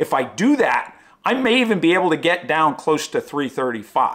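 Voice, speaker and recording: Over a quiet background, a man talks with lively intonation. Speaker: running vlogger. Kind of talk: casual vlog chat. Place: home room.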